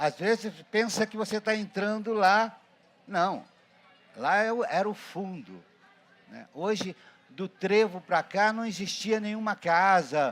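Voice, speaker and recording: A man is talking here. His pace is fairly slow. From Brazil, Paraty (Rio de Janeiro state coast). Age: 70s. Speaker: ceramist. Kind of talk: storytelling talk at a ceramics event. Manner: halting, with repetitions.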